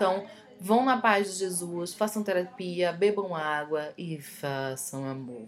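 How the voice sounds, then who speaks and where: With music in the background, a woman speaks very slowly, her intonation lively and her loudness swinging widely. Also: fairly low pitch for a woman. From Recife, Brazil. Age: 20s. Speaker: podcast co-host. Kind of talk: casual chat.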